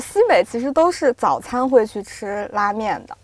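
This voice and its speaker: Noticeable background noise sits behind a woman whose high voice makes very wide pitch swings. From northwest China, Yinchuan. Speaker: editor. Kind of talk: casual chat.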